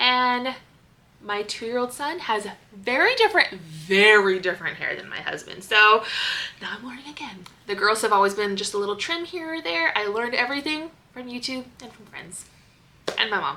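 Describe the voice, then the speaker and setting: With an American accent, a woman speaks at a fairly high pitch and a moderate pace. Her intonation is lively, her loudness swings widely, and noticeable background noise is present. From US Pacific Northwest, Seattle. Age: 30s. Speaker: stay-at-home mom vlogger. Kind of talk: casual vlog talk.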